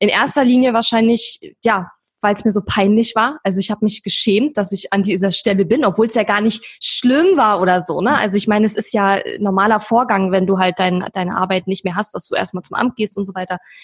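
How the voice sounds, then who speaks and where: A somewhat breathy woman's voice at medium pitch, fairly quick and with hardly any pauses, with ordinary pitch variation. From eastern Germany. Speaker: online entrepreneur. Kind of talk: interview.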